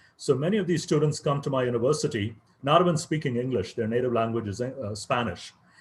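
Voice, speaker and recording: The voice is somewhat breathy and moves at a very fast pace. Its pitch variation is ordinary. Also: man. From India, Chennai. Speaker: professor. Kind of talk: invited talk.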